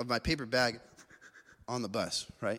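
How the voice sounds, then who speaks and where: On a very clean recording with a silent background, a man with an American accent speaks in a bright, sharp tone at a moderate pace. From US West (Las Vegas). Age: young. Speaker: pastor. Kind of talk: sermon.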